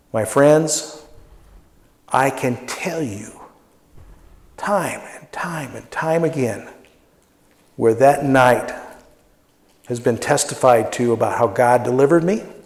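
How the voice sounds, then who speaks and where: Amid audible room echo, a man talks very slowly, with big swings in loudness and long, frequent pauses. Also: medium pitch for a man, ordinary pitch variation. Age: 60s. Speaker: pastor. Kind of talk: sermon.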